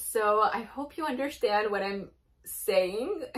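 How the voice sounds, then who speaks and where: This is a woman's voice. She speaks with a Japanese accent. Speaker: YouTube reaction video creator. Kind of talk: casual vlog reaction commentary. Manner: casual, chatty with fillers.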